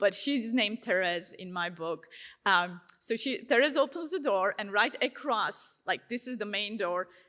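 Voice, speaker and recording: A woman in a Turkish accent, bright and sharp in tone, with lively intonation and a fairly slow pace. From Turkey. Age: 30s. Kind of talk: testimony talk. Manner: casual, conversational with many fillers.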